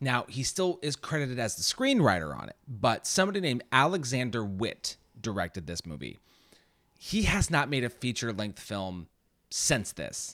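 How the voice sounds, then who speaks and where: Over a very clean recording with a silent background, a man at medium pitch talks at a moderate pace in a bright, sharp, animated tone, with vocal fry, very wide pitch swings and big swings in loudness. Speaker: podcast host. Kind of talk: casual chat. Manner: joking, animated.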